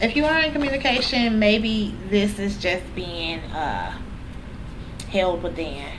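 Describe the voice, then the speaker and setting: Lively intonation at a fairly slow pace amid noticeable background noise and audible room echo. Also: woman, medium pitch for a woman. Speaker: tarot reader. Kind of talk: tarot reading. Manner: casual.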